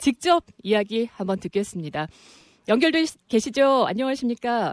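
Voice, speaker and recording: In a very clean recording with a silent background and a dry, close sound with no echo, a woman speaks at a moderate pace. Her fairly high voice makes very wide pitch swings. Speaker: radio news anchor. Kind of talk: radio current-affairs interview.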